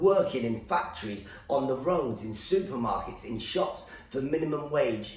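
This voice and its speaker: A fairly high-pitched man's voice with very wide pitch swings at a moderate pace, amid noticeable background noise and audible room echo. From Iran, raised in UK. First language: Farsi. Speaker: stand-up comedian. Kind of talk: comedic rant. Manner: animated.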